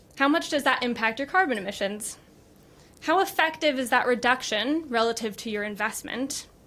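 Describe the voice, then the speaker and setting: Her voice is high-pitched for a woman, with a bright, sharp tone. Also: lively intonation, moderate pace. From United States. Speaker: business executive. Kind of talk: conference talk. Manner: formal.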